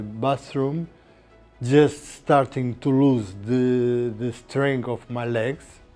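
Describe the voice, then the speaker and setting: Over music in the background, a man with a Portuguese accent speaks very slowly at a medium pitch with fairly even intonation. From Portugal. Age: 70s. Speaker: patient, retired surgeon. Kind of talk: interview testimony. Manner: halting.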